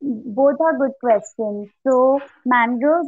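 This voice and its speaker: High in pitch, a woman speaks at a very slow pace. Her pitch varies in an ordinary way. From India. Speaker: coastal geographer. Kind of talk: interview. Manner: hesitant with fillers.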